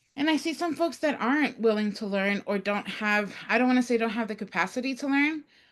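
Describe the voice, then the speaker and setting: With a Spanish accent, a woman talks at a fairly quick pace with hardly any pauses, a fairly high pitch, ordinary pitch variation and a quiet background. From Latin America, small mining town. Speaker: early childhood educator, webinar guest. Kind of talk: webinar discussion.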